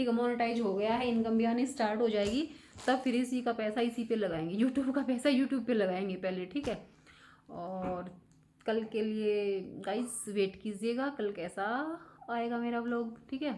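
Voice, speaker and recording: Soft-spoken, a woman uses a fairly high pitch with a dark, mellow tone and ordinary pitch variation. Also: moderate pace. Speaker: vlogger. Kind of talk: casual vlog chat. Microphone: no external mic, voice comes out quiet.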